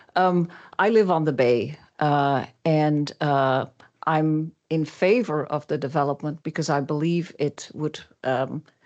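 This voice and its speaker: In a slight Dutch accent, the speaker talks at a very slow pace with ordinary pitch variation against a quiet background. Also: woman, very deep, low pitch for a woman. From Netherlands. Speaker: public commenter. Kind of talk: public comment. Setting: city council meeting. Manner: halting, many fillers.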